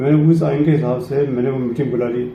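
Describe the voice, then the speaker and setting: Amid noticeable background noise and audible room echo, a man with a fairly high pitch speaks at a moderate pace with fairly even intonation. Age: 70s. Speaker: cultural centre president. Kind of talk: interview.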